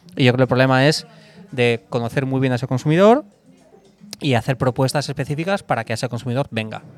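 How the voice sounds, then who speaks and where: Music plays in the background as a man at a medium pitch talks very fast, with ordinary pitch variation and long, frequent pauses. The sound is dry and close, with no echo. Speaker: former sportswear brand director and author. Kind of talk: interview conversation. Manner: hesitant, with repeated words.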